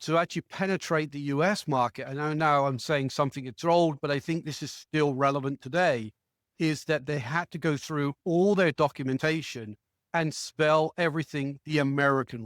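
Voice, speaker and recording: In an English accent, a man speaks at a fairly high pitch with ordinary pitch variation, the sound dry and close with no echo, on a very clean recording with a silent background. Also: moderate pace. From England. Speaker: marketing executive. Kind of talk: interview.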